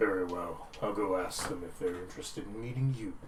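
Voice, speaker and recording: Through clear background noise, a man puts on a character voice, fairly low in pitch and fairly quick in pace. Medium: actual play. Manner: formal, brief.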